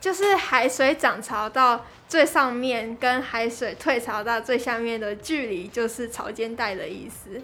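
In a Taiwanese accent, a high-pitched woman speaks at a fairly slow pace with hardly any pauses, ordinary pitch variation and big swings in loudness, over noticeable background noise. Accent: Taiwanese Mandarin. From Taiwan, Kaohsiung. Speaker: university student. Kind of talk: interview.

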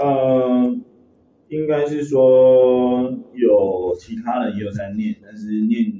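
Speaking at a very slow pace, a man with a medium-pitched voice uses lively intonation and big swings in loudness. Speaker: baseball strength coach. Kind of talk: interview. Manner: halting, many fillers.

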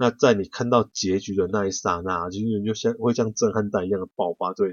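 This man talks at a fairly quick pace with a Taiwanese accent. His voice is fairly low in pitch. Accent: Taiwanese Mandarin. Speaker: podcast host, book reviewer. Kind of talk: book review monologue. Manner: casual with many filler particles.

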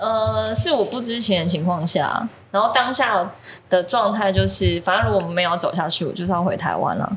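Her medium-pitched voice has vocal fry and swings very widely in pitch. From Taiwan. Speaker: ceramic artist. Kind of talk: casual chat.

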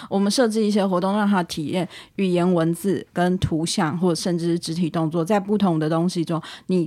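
A woman talks at a fairly quick pace with a medium pitch, ordinary pitch variation and a dark, mellow tone. The recording is very clean, with a silent background. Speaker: language teacher. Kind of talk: casual chat.

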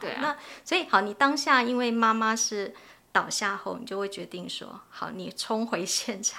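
A woman speaks with a fairly high pitch and a bright, sharp tone. Her pitch varies in an ordinary way, but her loudness swings widely. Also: moderate pace. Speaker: family caregiver advocacy organization head. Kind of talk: podcast interview conversation.

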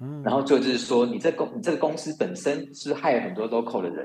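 This man's voice sits fairly high. He talks at a fairly quick rate. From Taiwan. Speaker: finance and compliance professional. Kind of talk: interview. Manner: halting, frequent repetitions.

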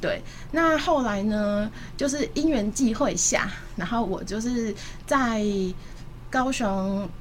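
In a room with audible echo, a woman speaks somewhat breathily at a very slow pace and a fairly high pitch. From Taipei, Taiwan. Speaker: pet food entrepreneur. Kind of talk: radio interview.

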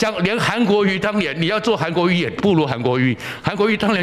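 A man speaks at a fairly quick pace in a high pitch, his tone animated and his intonation lively. Audible room echo and noticeable background noise are present. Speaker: political commentator. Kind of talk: solo political commentary.

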